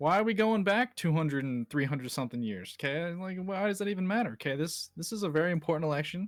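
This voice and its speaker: This man has an American accent. He talks at a very fast pace. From USA. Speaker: history buff. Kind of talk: casual chat.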